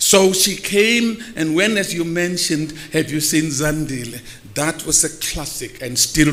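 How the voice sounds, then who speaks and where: This man talks at a fairly slow pace. Noticeable background noise runs behind him. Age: 70s. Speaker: theatre veteran and former director. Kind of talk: tribute speech.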